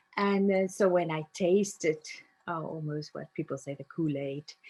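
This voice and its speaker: A woman with a South African accent speaks at a fairly slow pace in a dark, mellow tone. The sound is dry and close, with no echo. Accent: South African (Afrikaans) English. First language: Afrikaans. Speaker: narrative coach. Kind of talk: interview.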